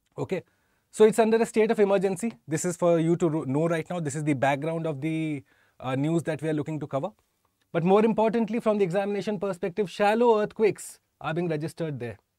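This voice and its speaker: Against a quiet background, a man speaks at a very fast pace in a high pitch with ordinary pitch variation, the sound dry with no echo. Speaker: exam prep teacher. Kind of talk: lecture. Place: studio. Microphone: lapel.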